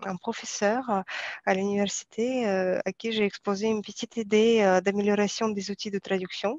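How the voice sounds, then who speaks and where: Fairly even intonation and a moderate pace from a woman with a medium pitch. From Kazakhstan. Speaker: software developer, former translator. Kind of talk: interview testimony. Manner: halting, many hesitations.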